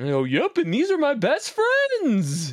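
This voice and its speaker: A put-on character voice at a fairly slow pace. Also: female-sounding voice. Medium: actual play. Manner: warm, friendly.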